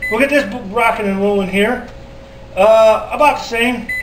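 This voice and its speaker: An extremely high-pitched man speaks with fairly even intonation. Light background noise and audible room echo are present. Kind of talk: casual cooking tutorial. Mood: relaxed, jokey. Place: kitchen. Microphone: camera far.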